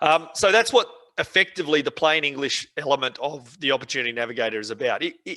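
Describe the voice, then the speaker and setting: A man with an Australian accent speaks in a bright, sharp tone, the sound dry and close with no echo. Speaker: software trainer. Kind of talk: webinar tutorial. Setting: online webinar. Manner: fast.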